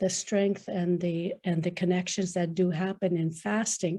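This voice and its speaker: With a dark, mellow tone, a somewhat breathy woman speaks in a monotone, flat intonation. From northern Manitoba, Canada. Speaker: participant asking elders. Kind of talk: question to a panel. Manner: halting, many fillers and repetitions.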